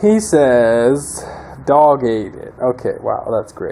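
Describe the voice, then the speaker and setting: Through noticeable background noise, a man speaks at a very slow pace. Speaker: mechanic video maker. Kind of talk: casual tutorial. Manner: unenthusiastic.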